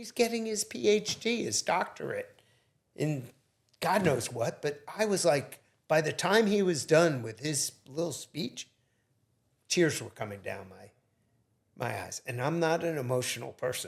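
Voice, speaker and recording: A man's fairly high, fairly slow voice with very wide pitch swings, big swings in loudness, vocal fry and long, frequent pauses. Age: 60s. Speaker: entrepreneur. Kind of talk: casual interview.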